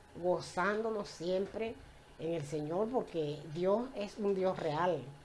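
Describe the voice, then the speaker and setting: A woman talks at a very slow pace and a medium pitch with ordinary pitch variation. Light background noise can be heard. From Venezuela, Puerto La Cruz (eastern coast); Venezuela. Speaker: church member giving testimony. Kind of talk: personal faith testimony in church. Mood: warm, joyful, faith-filled. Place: home room.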